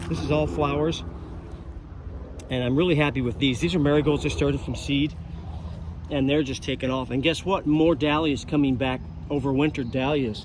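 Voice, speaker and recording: A man at a fairly high pitch with ordinary pitch variation, a fairly quick pace and long, frequent pauses. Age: 60s. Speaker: gardening vlogger. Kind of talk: casual garden tour vlog. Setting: outdoors in a garden. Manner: casual, halting with fillers.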